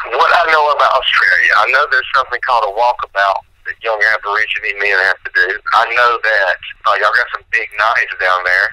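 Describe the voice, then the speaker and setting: Over noticeable background noise, a man with a Southern US accent talks at a fairly quick pace. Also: dry, close sound with no echo. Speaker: country rap musician. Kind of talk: radio interview.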